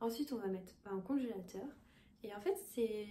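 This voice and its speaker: A woman speaks at a moderate pace. Her tone is dark and mellow, and somewhat breathy. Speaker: cooking youtuber. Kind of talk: casual cooking tutorial. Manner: hesitant, many fillers. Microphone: poor sound quality.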